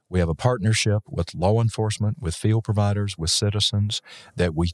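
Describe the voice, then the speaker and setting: Fairly low-pitched and somewhat breathy, a man speaks at a moderate pace with ordinary pitch variation. The sound is dry and close with no echo, in a very clean recording over a silent background. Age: 60s. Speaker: physician and EMS educator. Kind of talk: casual interview chat. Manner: jovial, joking.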